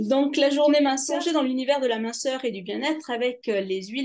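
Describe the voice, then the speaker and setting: The background is quiet. Pitch varies in an ordinary way. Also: woman. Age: 50s. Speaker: nutrition coach. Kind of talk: webinar presentation. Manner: halting, many hesitations.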